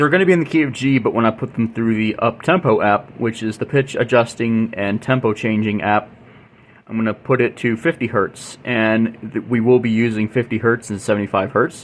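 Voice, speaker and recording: A man's normal speaking voice, medium-pitched and fairly quick, with ordinary pitch variation. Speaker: YouTube music channel host. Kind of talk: casual tutorial-style demo.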